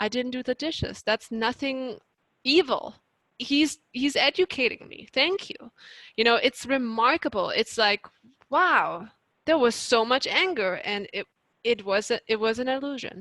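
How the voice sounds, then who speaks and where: At a fairly slow pace, a woman talks in a high pitch with a bright, sharp tone, the sound dry and close with no echo. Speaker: life coach. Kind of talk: presentation Q&A.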